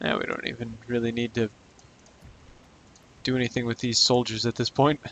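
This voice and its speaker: A quiet man's voice, medium in pitch, at a fairly quick pace with monotone, flat intonation and a dry, close sound with no echo. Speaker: gaming youtuber. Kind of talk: gameplay commentary.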